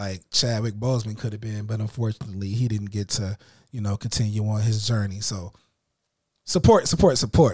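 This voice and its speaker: Recorded very cleanly against a silent background, a man with an American accent speaks at a fairly quick pace with a fairly low, somewhat breathy voice and fairly even intonation. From Illinois. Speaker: podcast host. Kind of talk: casual chat.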